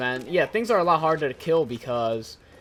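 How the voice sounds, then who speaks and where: Noticeable background noise sits under speech delivered at a moderate speed. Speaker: gaming YouTuber. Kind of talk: post-commentated gameplay commentary. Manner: casual with many fillers.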